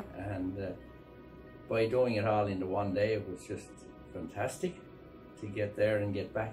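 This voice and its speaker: Clear music plays behind a man with a fairly low pitch. His intonation is fairly even, broken by long, frequent pauses. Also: moderate pace. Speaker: farmer. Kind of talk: interview answer. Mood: content, relieved.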